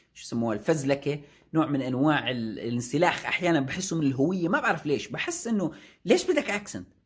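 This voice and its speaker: In a Jordanian accent, a man with a fairly high pitch and a somewhat breathy, animated tone speaks at a moderate pace with lively intonation and big swings in loudness against a quiet background. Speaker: YouTuber and software developer; YouTuber. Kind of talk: casual vlog talk. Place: office. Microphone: phone near.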